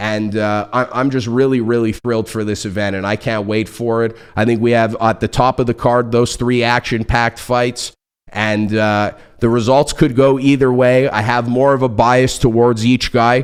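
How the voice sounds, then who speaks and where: A man speaks at a moderate pace in a medium pitch, his intonation monotone and flat. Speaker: podcast host and personal trainer. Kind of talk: solo podcast monologue.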